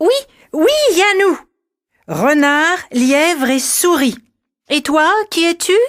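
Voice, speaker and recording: A put-on character voice with a high pitch speaks at a fairly slow pace. Long pauses come often. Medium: read story.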